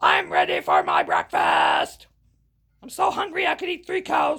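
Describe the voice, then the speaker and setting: Shouting and growling in a put-on character voice, a man sounds raspy, with an extremely high pitch and a moderate pace. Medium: read story. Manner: growling, booming.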